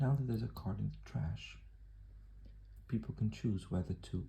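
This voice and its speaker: A soft-spoken man, whispering. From southern Brazil. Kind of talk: ASMR card game tutorial. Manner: whispered, soft-spoken.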